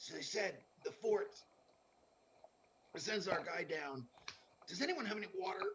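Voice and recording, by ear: A man puts on a raspy, high-pitched character voice with lively intonation. He talks at a moderate pace with long, frequent pauses.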